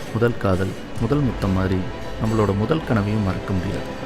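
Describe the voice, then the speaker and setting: A man talks with a fairly low pitch. Behind him, music plays. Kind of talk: biographical first-person voice-over narration.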